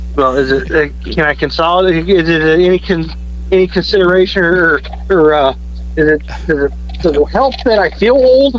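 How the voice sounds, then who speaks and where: The speaker talks at a moderate pace with long, frequent pauses and very even loudness, over noticeable background noise. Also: man. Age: 40s. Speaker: high school football coach and radio contributor. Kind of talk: casual chat.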